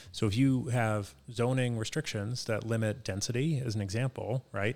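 With an American accent, a man in an unremarkable speaking voice talks at a medium pitch and moderate pace with fairly even intonation, in a very clean recording with a silent background. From Boston, Dorchester. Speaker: marketing executive. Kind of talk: podcast interview.

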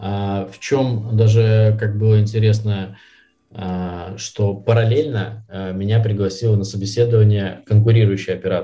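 Somewhat breathy and dark, mellow in tone, a man with a fairly low pitch speaks at a fairly slow pace in a monotone, flat intonation, with big swings in loudness and audible room echo. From Belarus, Minsk. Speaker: sales professional. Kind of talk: casual interview.

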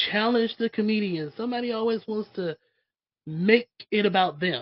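At a moderate speed, a woman talks in an animated tone. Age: 30s. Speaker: podcast host. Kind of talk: casual chat.

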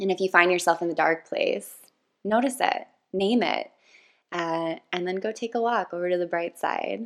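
Using a plain, everyday voice, a woman speaks at a moderate pace and a medium pitch with ordinary pitch variation. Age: 30s. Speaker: podcast host and yoga instructor. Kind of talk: casual chat.

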